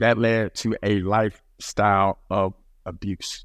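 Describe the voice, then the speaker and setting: Speaking with a Texan accent, a man keeps a fairly low pitch and a monotone, flat intonation. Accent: Texan American English. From Dallas, Texas. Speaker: men's ministry founder. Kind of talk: testimony. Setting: podcast studio.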